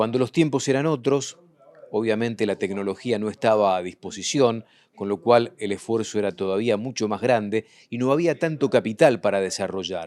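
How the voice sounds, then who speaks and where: Using a normal speaking voice, a man talks at a medium pitch and moderate pace with lively intonation. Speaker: agricultural TV show host. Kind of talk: TV report narration.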